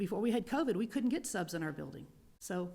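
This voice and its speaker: Somewhat breathy, this voice keeps a fairly quick pace. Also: woman. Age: 60s. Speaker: middle school teacher, public commenter. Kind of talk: public comment at school board meeting.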